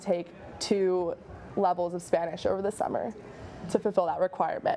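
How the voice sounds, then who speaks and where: Over noticeable background noise, a woman at a medium pitch talks at a very fast pace with fairly even intonation. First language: American Sign Language. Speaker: university student. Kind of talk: interview.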